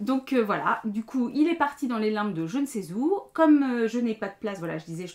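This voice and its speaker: Lively intonation runs through the speech. The pace is fairly quick. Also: woman. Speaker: knitting podcaster and teacher. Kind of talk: casual vlog monologue. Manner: hesitant, many fillers.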